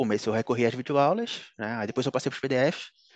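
A man talks at a fairly quick pace with ordinary pitch variation, in a dry sound with no echo. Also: quiet background. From Brazil, Pernambuco (Recife); Pernambuco, Brazil. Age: 30s. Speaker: top-ranked civil service exam candidate, economist; candidate. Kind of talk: interview. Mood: relaxed, smiling. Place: home room. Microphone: headset.

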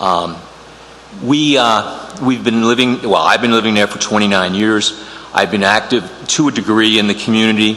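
A medium-pitched man with an American accent, ordinary pitch variation and a moderate pace, amid audible room echo and noticeable background noise. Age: 60s. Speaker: attorney and committee applicant. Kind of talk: public meeting statement. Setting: town council meeting room. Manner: halting, many fillers.

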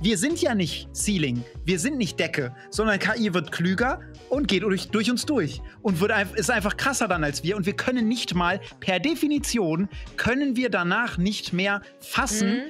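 A man at a fairly slow pace, faint music in the background. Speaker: streamer. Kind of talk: casual stream chat. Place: home room. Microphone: studio mic.

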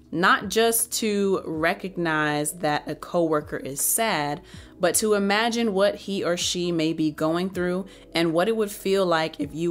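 A woman speaks at a fairly slow pace in a fairly low pitch, with ordinary pitch variation and faint music in the background. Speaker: book reviewer. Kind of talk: book review, reading aloud and commentary. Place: home room. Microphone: studio mic.

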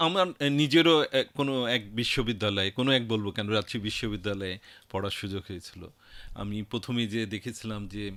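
A man with an ordinary speaking voice talks at a fairly low pitch, his pitch varying in an ordinary way. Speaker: radio host and station chief. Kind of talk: radio interview. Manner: formal.

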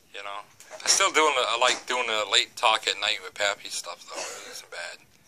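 A man with an American accent speaks at a moderate pace, his pitch in the medium range with ordinary variation. His loudness swings widely, and there is noticeable background noise. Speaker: YouTuber; vlogger. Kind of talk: casual vlog talk; casual vlog chat. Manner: halting. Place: home room. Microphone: phone near.

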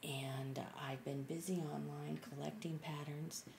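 A woman is soft-spoken over noticeable background noise. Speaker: beginner art journaler. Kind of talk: casual talk to camera. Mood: enthusiastic, excited. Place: home room. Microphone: webcam.

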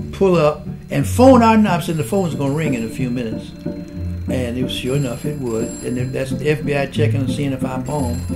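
A man speaks at a medium pitch. Clear music plays in the background. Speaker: civil rights activist. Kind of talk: interview answer. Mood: calm, reflective, firm. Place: home room.

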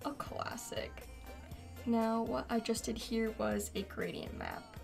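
A woman speaks quietly at a very slow pace. Music plays behind her. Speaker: digital artist. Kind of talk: speedpaint tutorial narration.

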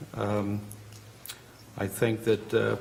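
A man's fairly low, flat monotone voice over noticeable background noise. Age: 60s. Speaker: hospital employee. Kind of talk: testimony. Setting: public hearing.

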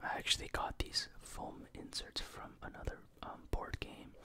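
The voice is soft-spoken and whispering, at a fairly slow pace. Light background noise is present. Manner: soft ASMR whisper.

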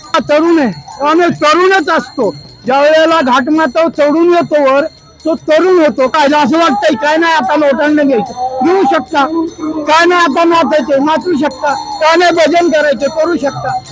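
The loudness stays very even, with ordinary pitch variation. Noticeable background noise runs underneath. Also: man, extremely high pitch for a man. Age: 70s. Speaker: pilgrim on the Wari walk. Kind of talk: interview answer. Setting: outdoors. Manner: enthusiastic.

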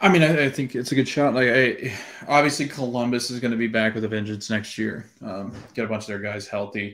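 Against a quiet background, a man speaks fairly quickly with ordinary pitch variation. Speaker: podcast co-host. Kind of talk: casual sports commentary discussion. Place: home room.

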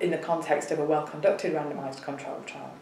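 A woman speaks with a Yorkshire accent. There is audible room echo and light background noise. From northern England, Bradford; northern England. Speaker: professor of epidemiology. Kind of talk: interview. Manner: halting. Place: office.

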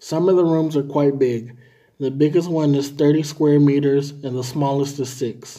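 Against a quiet background, a dark, mellow voice speaks at a moderate pace in a flat monotone. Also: man, fairly high pitch for a man. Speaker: language tutor. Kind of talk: reading aloud. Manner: formal. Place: home room. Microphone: phone near.

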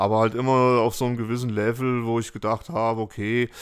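A man is talking. His pitch is medium. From Fulda, Hesse, Germany. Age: 50s. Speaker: graffiti artist. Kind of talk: casual interview. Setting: at home. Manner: hesitant with many fillers.

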